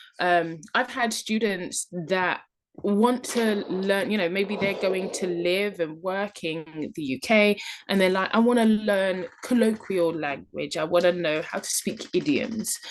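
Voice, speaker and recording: A woman with a medium pitch talks fairly slowly, varying her pitch in an ordinary way. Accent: British. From London, England. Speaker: online English teacher and travel vlogger. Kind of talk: tutorial. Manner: casual, conversational with fillers.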